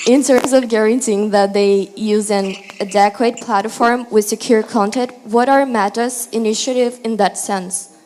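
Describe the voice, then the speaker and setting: At a moderate pace, a woman talks with fairly even intonation in a fairly high pitch. Background noise is noticeable. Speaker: audience member asking question. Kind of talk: question to panel. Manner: loud.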